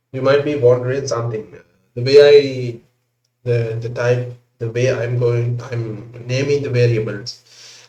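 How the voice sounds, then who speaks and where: Somewhat breathy and speaking with a non-native accent, a man talks at a fairly slow pace and medium pitch, with monotone, flat intonation and big swings in loudness. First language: not English. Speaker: programming tutor. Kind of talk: tutorial. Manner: hesitant, filler-heavy.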